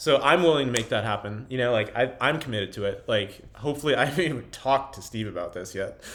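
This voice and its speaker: A man talks at a very fast pace with hardly any pauses. His pitch varies in an ordinary way. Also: medium pitch for a man. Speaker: video journal host. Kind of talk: casual chat. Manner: animated.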